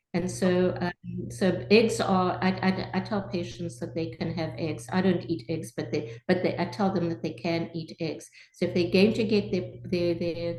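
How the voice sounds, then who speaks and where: A woman speaks at a fairly low pitch with vocal fry. Her intonation is lively. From South Africa. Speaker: family doctor. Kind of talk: interview answer.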